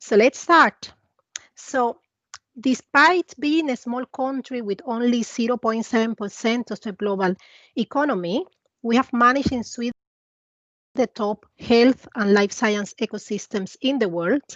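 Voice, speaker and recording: A woman with a Latin American accent speaks at a fairly slow pace in a fairly high pitch, with ordinary pitch variation and a dry, close sound with no echo. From Cuba. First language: Spanish. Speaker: investment advisor. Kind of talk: presentation.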